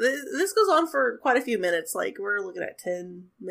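The speaker is reading aloud in a natural voice.

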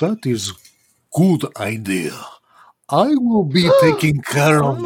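Put-on character voice, middle-pitched and fairly slow

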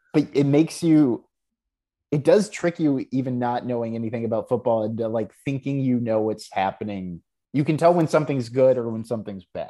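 A man with an American accent speaks at a fairly quick pace. His voice sits at a medium pitch and has a dark, mellow tone. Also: ordinary pitch variation. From Texas, Houston. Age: 30s. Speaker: TV writer and producer. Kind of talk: casual chat.

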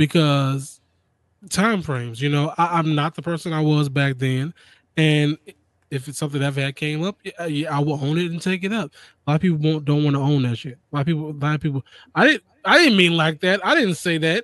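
Recorded with a dry, close sound and no echo, a man with an unremarkable speaking voice talks at a fairly quick pace in a fairly high pitch with ordinary pitch variation. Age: 30s. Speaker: gaming podcast host. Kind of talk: casual chat.

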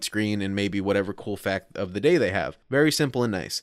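A man talks at a fairly quick pace with lively intonation in a normal speaking voice, on a very clean recording with a silent background. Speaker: podcast co-host. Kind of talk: casual comedic chat.

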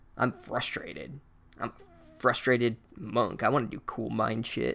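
A raspy put-on character voice, low-to-middle in pitch, at a moderate pace. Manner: frustrated, whiny.

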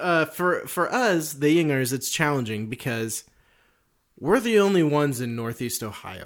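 At a fairly slow pace, a man speaks with a fairly high pitch and very wide pitch swings. Long, frequent pauses break up his speech. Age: 30s. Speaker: podcast co-host. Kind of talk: casual chat. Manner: animated.

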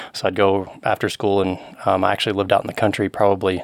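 This man has an American accent and a fairly low pitch. He speaks at a fairly quick pace. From Western Kentucky (Murray), US South. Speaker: cycling coach and champion racer. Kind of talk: casual interview. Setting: studio.

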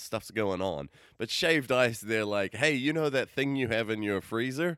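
A man's normal speaking voice with an American accent, medium in pitch, lively in intonation, at a moderate pace, on a very clean recording with a silent background and dry, close sound with no echo. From outside the US. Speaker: podcast co-host. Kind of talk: casual chat.

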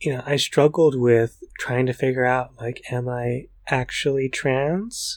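A man with an American accent talks at a fairly slow pace in a plain, everyday voice, pitched in the medium range. His intonation is fairly even, and the very clean recording is dry and close, with no echo and a silent background. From US Northeast, Brooklyn. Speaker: podcast co-host. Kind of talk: casual chat.

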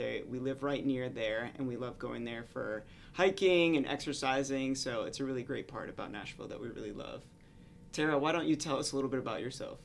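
A man with a plain, everyday voice, an American accent, medium pitch, ordinary pitch variation and a fairly quick pace. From Florida. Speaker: medical resident and podcast host. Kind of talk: casual chat.

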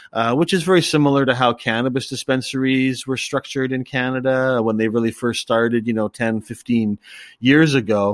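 An unremarkable speaking voice from a man at medium pitch, moderate pace and fairly even intonation, in a very clean recording with a silent background and a dry, close sound with no echo. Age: 50s. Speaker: cafe owner and drug policy activist. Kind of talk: interview.

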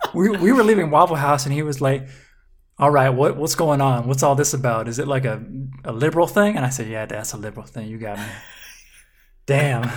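A fairly quick pace with long, frequent pauses, in a Southern US accent. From US South, Mississippi. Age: 20s. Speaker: web video comedy creator. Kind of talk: casual chat.

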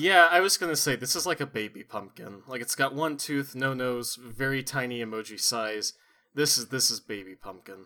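Bright and sharp in tone, a man speaks at a moderate pace and medium pitch with ordinary variation on a very clean recording with a silent background. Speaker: podcast host. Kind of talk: casual comedic chat. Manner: animated; joking.

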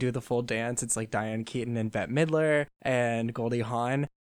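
On a very clean recording with a silent background, a man with an ordinary speaking voice talks at a medium pitch and moderate pace with fairly even intonation. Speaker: student guest. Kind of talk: casual chat about pop music.

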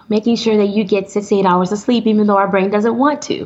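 Over noticeable background noise, a woman with an American accent speaks at medium pitch with ordinary pitch variation. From US Midwest, Flint, Michigan. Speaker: psychiatrist. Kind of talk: interview.

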